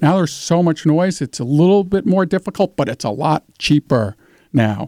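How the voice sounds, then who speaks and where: In a very clean recording with a silent background and a dry, close sound with no echo, a man with a dark, mellow tone speaks at a moderate pace with lively intonation. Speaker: entrepreneur. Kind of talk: radio interview.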